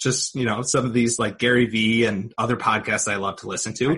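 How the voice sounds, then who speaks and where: A man talks at a medium pitch in an ordinary speaking voice. The intonation holds fairly even. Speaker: podcast host and trader. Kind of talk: casual interview chat. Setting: video call.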